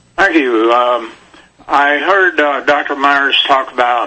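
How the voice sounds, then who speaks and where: Against noticeable background noise, a man with a fairly high pitch talks very slowly, his pitch varying in an ordinary way. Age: 60s. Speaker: caller. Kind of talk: radio call-in question. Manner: halting.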